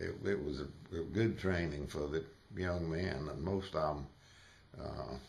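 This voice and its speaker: With a Southern US accent, a man with a very deep, low pitch talks at a very slow pace with ordinary pitch variation, and audible room echo is present. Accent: Southern US (Georgia). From US South, northwest Georgia. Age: 80s+. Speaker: war veteran. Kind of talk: interview. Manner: halting, many fillers.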